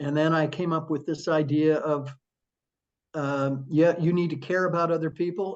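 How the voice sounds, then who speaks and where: A man with an ordinary speaking voice talks at a moderate pace, his fairly high pitch held in fairly even intonation. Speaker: author and former attorney, church member. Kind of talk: interview answer. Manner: warm, conversational.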